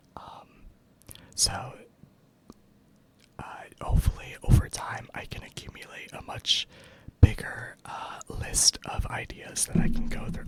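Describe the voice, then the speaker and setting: Whispering at a fairly slow pace, broken by long, frequent pauses, over noticeable background noise. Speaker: ASMR creator. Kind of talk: ASMR soft-speaking casual talk to camera. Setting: home recording with dual dynamic microphones and audio interface. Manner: soft-spoken, rambling, with frequent filler words.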